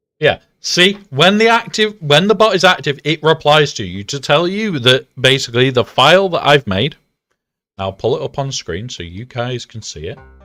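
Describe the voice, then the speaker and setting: A man with a British accent, bright and sharp in tone at a fairly high pitch, with vocal fry, very wide pitch swings and big swings in loudness, dry and close with no echo. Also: moderate pace, very clean recording, silent background. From Britain. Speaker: video game streamer. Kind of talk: live stream chat.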